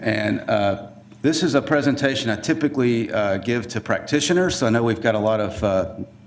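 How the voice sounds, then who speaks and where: Speaking in a Southern US accent, a man talks at a moderate pace with a medium pitch. His pitch varies in an ordinary way, and room echo is audible. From US South. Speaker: forensic DNA scientist. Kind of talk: conference presentation. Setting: conference room with audience. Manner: casual, with many fillers.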